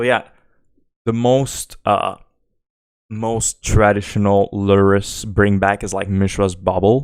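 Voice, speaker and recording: A man with a Quebec accent speaks at a very slow pace in a fairly low voice with fairly even intonation. The recording is very clean, with a silent background. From Quebec, Canada. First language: French. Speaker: game streamer. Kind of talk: live gameplay commentary. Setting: live stream. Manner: casual, hesitant with fillers.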